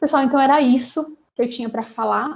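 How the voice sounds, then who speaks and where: A woman speaks at a moderate pace with fairly even intonation. Her voice is high-pitched, with a dark, mellow tone. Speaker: HR specialist. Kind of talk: lecture.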